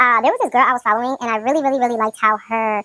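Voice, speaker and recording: A bright, sharp voice at a very fast pace, dry and close with no echo. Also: woman. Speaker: beauty vlogger. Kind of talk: casual chat.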